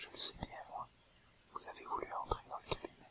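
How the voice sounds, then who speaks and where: A man whispers at a moderate pace. Noticeable background noise is audible. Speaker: whisper / relaxation video creator. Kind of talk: whispered storytelling / fairy tale reading. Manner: whispered, soft-spoken, relaxing.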